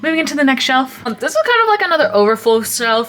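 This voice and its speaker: Over noticeable background noise, a woman speaks with high pitch, lively intonation and an animated tone. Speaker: YouTuber, anime figure collector. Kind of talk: casual room tour vlog. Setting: home bedroom. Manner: fast.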